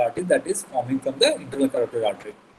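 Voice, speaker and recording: A man talks at a very fast pace. Noticeable background noise runs under his speech. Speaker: medical lecturer. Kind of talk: lecture. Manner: halting, many fillers.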